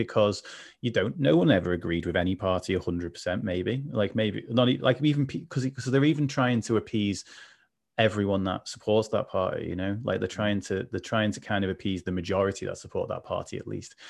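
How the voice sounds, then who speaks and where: Delivered at a fairly quick pace, this is an ordinary speaking voice with ordinary pitch variation. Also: man, fairly low pitch for a man. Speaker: mental health advocate. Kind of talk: casual chat. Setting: video call.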